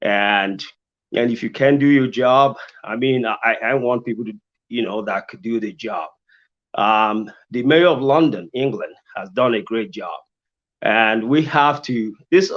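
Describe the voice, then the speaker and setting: A man speaks at a medium pitch with a non-native accent, keeping a fairly slow pace and ordinary pitch variation against a quiet background. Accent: foreign. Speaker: mayoral candidate, engineer. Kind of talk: candidate forum answer. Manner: halting, many repetitions.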